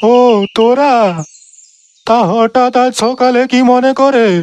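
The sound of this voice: In a cartoonish character voice, a man speaks fairly slowly at an extremely high pitch with monotone, flat intonation.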